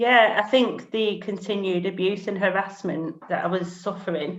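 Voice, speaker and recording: A woman talks in a Lancashire accent at a medium pitch. Her pace is moderate and her intonation fairly even. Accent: Bolton. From northern England, Bolton. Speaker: single parent sharing her story. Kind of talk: interview testimony.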